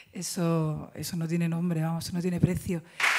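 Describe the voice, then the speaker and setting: A woman talks at a fairly quick pace over light background noise. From Jerez, Cádiz, Andalusia; Andalusia, Spain. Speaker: actress. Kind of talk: press conference. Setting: press conference at film festival. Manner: halting. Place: hall. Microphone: podium.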